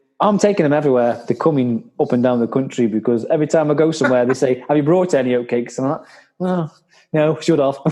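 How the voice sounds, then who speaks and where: A man in a Staffordshire accent races along at a very fast pace, his fairly high pitch paired with a dark, mellow tone and very even loudness. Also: ordinary pitch variation. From Staffordshire, England. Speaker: podcast host. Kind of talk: casual chat.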